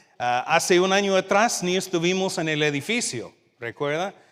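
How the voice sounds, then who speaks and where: The speaker talks at a fairly slow pace with an American accent and ordinary pitch variation. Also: man. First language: English (speaking Spanish). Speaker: youth minister, guest preacher. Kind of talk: sermon. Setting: church service with congregation, livestreamed. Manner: halting, with fillers.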